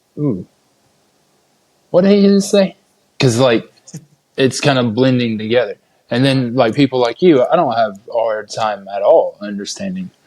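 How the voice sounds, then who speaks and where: A man with an Appalachian accent, medium pitch and very wide pitch swings, at a moderate pace with long, frequent pauses. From Appalachia, US. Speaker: podcast host. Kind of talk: casual interview chat.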